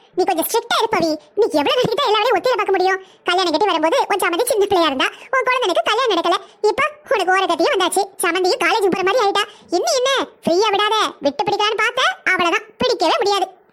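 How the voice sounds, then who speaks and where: A woman performs a cartoonish character voice at an extremely high pitch. She talks at a very fast pace with ordinary pitch variation and very even loudness. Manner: teasing, chatty.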